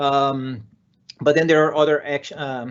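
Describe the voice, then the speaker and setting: A man with a Brazilian Portuguese accent. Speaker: software developer and conference speaker. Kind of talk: conference talk. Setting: virtual conference session. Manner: energetic.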